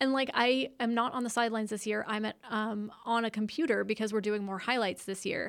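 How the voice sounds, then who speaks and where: A woman with a normal speaking voice and fairly high pitch talks at a fairly quick pace, her intonation fairly even and her speech with hardly any pauses. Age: 40s. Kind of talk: casual chat. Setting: studio.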